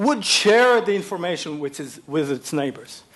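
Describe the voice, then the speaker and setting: Very wide pitch swings from a man. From Israel. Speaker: plant ecology professor. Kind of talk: TEDx talk.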